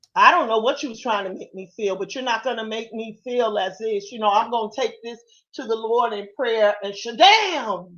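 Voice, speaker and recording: With an ordinary speaking voice, a woman talks at a moderate pace in a fairly high pitch, showing ordinary pitch variation and big swings in loudness. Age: 60s. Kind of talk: casual chat.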